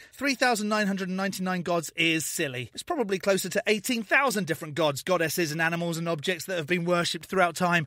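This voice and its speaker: In a British accent, a man speaks at a high pitch with ordinary variation and a bright, sharp tone. His pace is moderate with hardly any pauses, on a very clean recording with a silent background. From Britain. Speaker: YouTube commentator, atheist channel host. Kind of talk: reaction commentary.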